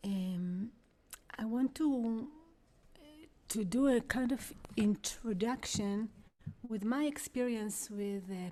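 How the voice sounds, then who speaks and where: Speaking at a very slow pace, a woman with an Israeli accent has a dark, mellow tone, a medium pitch and ordinary pitch variation. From Israel, Jerusalem. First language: Hebrew. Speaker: vocalist and spiritual teacher. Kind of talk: guided workshop talk. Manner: halting. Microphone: too quiet.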